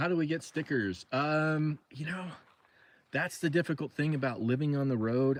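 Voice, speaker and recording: A man with ordinary pitch variation. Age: 60s. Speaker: overland traveler and vlogger. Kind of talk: casual livestream chat. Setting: livestream from camper rig. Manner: casual, hesitant with many fillers.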